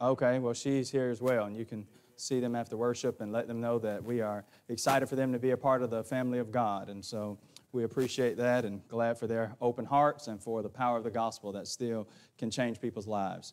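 His delivery is fairly quick. This man's intonation stays flat and monotone. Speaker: preacher. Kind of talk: sermon. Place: church.

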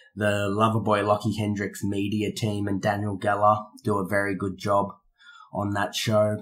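With an Australian accent, a man speaks fairly slowly at a fairly low pitch. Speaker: professional wrestler. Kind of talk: in-character interview. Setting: in person. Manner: arrogant.

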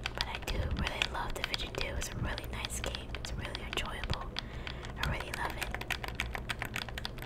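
A man whispers at a moderate pace. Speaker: ASMR gaming content creator. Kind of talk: casual talk to camera. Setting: home recording. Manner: soft, whispery. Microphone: studio mic.

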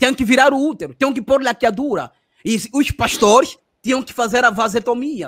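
Loudness swings widely and pitch varies in an ordinary way, all over a quiet background. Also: man, extremely high pitch for a man, moderate pace. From Angola. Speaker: former pastor; former pastor interviewee. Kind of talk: interview. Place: home room.

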